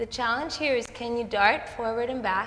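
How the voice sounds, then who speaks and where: A woman speaks in a calm tone at a fairly slow pace. Light background noise is present. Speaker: Pilates instructor. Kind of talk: guided exercise class. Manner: calm, steady, encouraging; instructional, paced by breath, rhythmic cues.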